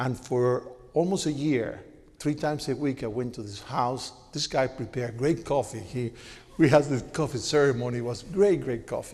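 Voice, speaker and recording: A man speaks with a strong Cuban accent. His pitch is medium. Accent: heavy Cuban Spanish. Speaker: media executive, panelist. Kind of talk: panel talk. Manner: animated.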